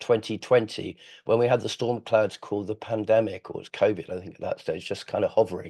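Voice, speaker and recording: A dark, mellow tone in an English accent, fairly even intonation, a very fast pace, and a quiet background. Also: man. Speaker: webinar host, firm founder and chief executive. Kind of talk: webinar introduction. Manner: hesitant, many fillers.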